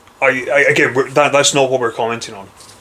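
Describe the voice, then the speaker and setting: Noticeable background noise surrounds a man speaking with a strong Scottish accent. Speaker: wrestling fan. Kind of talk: casual chat.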